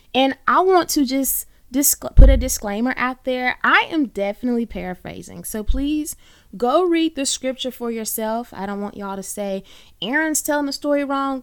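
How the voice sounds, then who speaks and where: With a Southern US accent, a woman speaks in a high voice with lively intonation and big swings in loudness, on a very clean recording with a silent background. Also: moderate pace. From US South, Birmingham, Alabama. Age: 20s. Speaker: podcast host. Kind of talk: solo podcast monologue. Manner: animated.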